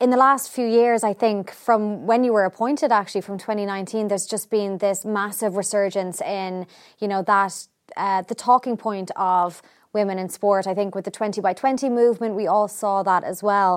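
The recording is very clean, with a silent background. A woman with an Irish accent speaks at a medium pitch and a moderate pace. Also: fairly even intonation. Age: 30s. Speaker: podcast host. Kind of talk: interview.

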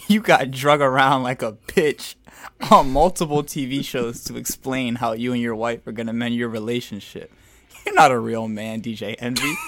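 A normal speaking voice with ordinary pitch variation and a moderate pace on a very clean recording with a silent background. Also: man, medium pitch for a man. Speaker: podcast host talking about music. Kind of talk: casual podcast chat about music.

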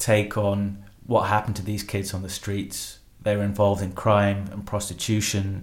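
With audible room echo, a man in a Yorkshire accent speaks at a fairly low pitch. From Yorkshire, northern England. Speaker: historian. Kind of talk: interview.

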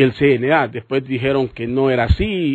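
An ordinary speaking voice. The pace is fairly slow. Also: man. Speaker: radio host. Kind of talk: radio talk show.

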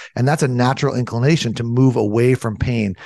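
A man talks at a fairly quick pace, his pitch medium and his intonation fairly even. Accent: American. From US, Southern California. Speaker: naturopathic physician. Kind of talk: interview.

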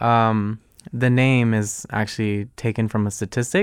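Recorded very cleanly against a silent background, a man with a fairly low pitch speaks in a plain, everyday voice with fairly even intonation. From Arlington, Virginia, US (born in Guatemala). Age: 20s. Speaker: college student and filmmaker. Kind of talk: radio interview. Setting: radio studio.

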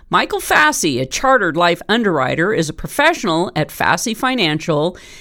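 Her pitch rises and falls very widely. The woman's voice also carries vocal fry. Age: 50s. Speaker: radio talk show host. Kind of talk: scripted narration; interview.

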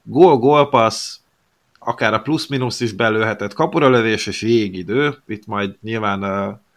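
A man speaks at a medium pitch with ordinary pitch variation in an ordinary speaking voice. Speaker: hockey podcast co-host. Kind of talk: casual chat.

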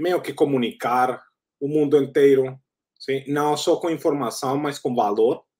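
A man with a Spanish accent at a moderate pace. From Colombia. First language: Spanish (speaking Portuguese). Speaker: startup founder. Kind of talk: interview.

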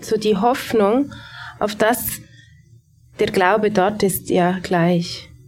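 Music plays in the background. A woman speaks at a very slow pace and a medium pitch. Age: 30s. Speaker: pastor. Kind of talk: panel discussion. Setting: live audience in a café.

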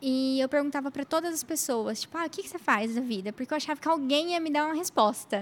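The woman's voice sits high in pitch. She talks very fast. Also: ordinary pitch variation, hardly any pauses. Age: 30s. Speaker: lawyer. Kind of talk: casual chat.

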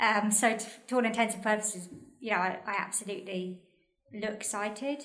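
Big swings in loudness mark this woman's fairly high voice, with a British accent and audible room echo. She talks at a fairly quick pace with fairly even intonation. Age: 40s. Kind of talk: casual chat.

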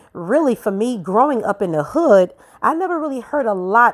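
Her accent is New York. The woman talks at a moderate speed. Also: very clean recording, silent background. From Brooklyn, New York. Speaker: podcast host. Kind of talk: solo podcast monologue. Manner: conversational, laughing.

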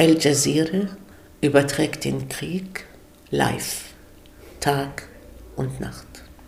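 A woman at a very slow pace with long, frequent pauses, noticeable background noise, and audible room echo. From Germany. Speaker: guest speaker. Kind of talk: interview.

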